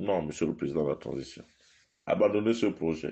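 A man's voice swings very widely in pitch. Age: 50s. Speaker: political commentator. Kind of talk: political address to followers. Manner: impassioned.

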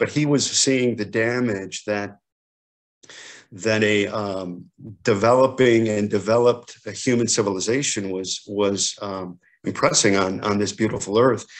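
In a normal speaking voice, a man talks at a fairly slow pace with fairly low pitch and fairly even intonation against a quiet background. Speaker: guest. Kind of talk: reflective talk on a poem. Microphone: video call.

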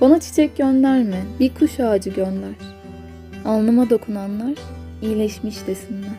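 A woman talks fairly slowly while music sounds behind her. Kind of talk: poetry reading.

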